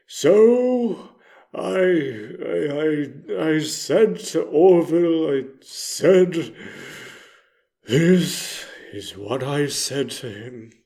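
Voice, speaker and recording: Someone puts on a character voice and talks at a very slow pace. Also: man, fairly high pitch for a man. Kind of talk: character monologue reading. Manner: exaggerated dramatic.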